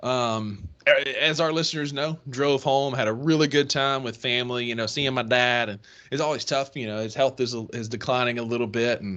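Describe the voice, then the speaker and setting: Speaking at a moderate pace with hardly any pauses, a man with a Mississippi accent talks at a medium pitch. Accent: country Mississippi. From northern Mississippi (Kossuth area). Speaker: sports podcast co-host. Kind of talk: casual chat.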